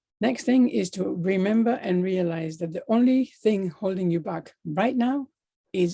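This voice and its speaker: With lively intonation, a woman speaks in a dark, mellow tone. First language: not English. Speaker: life coach. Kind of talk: motivational talk.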